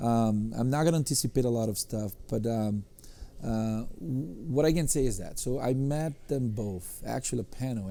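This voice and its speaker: This man's tone is dark and mellow. His pitch is medium. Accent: strong non-native. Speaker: podcast host, tech company executive. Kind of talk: podcast interview.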